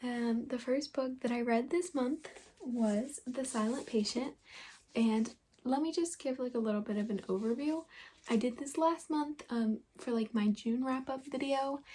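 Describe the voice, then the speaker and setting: Quiet and fairly slow, a woman speaks at a high pitch with ordinary variation in a dark, mellow tone. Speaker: booktuber. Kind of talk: casual vlog.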